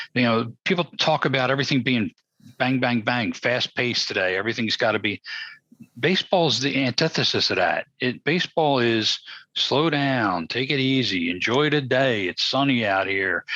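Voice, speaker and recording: A man's bright, sharp voice at medium pitch, lively in intonation, moderate in pace, very even in loudness, with a dry, close sound and no echo. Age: 60s. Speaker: podcast co-host. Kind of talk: casual chat.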